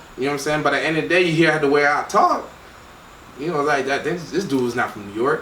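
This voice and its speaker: Talking at a very fast pace, a man uses a fairly high pitch with ordinary pitch variation. Noticeable background noise and audible room echo fill the recording. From Miami, Florida, Haitian family. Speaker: record label co-founder. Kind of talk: casual interview.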